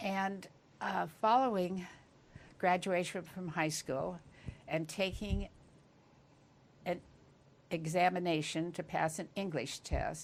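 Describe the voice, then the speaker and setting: Speaking in a Californian accent, a woman talks at a very slow pace with long, frequent pauses. Her pitch is fairly low, with ordinary variation. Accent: General American (Californian). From US West, rural Northern California. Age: 90s. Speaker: interviewee, retired homemaker. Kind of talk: life-story interview.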